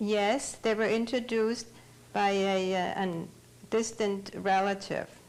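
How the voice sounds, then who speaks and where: With a German accent, a woman speaks at a fairly slow pace and a medium pitch in a monotone, flat intonation with very even loudness. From Germany, Bavaria. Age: 70s. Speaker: Holocaust survivor. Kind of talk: testimony.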